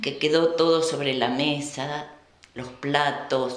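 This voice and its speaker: With an Argentine accent, a woman speaks at a very slow pace in a very deep, low pitch with fairly even intonation, amid noticeable background noise and audible room echo. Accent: Rioplatense Argentine Spanish. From Argentina, Buenos Aires province (Colonia Hinojo). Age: 70s. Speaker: Volga German descendant, former museum worker. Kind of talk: oral history interview. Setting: kitchen of a museum.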